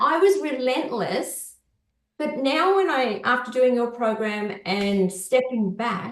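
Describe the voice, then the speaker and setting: With an Australian accent, a woman speaks in a high pitch. Her pace is fairly slow. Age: 60s. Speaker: client sharing recovery story. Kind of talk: podcast interview, personal testimony. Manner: hesitant with fillers.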